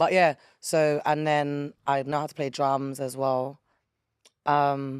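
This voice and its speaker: Speaking in a London accent, a woman with a very deep, low pitch talks very slowly in a flat monotone. The recording is very clean and the background silent. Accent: London English, Multicultural London English. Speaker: rapper and music promoter. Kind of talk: casual chat.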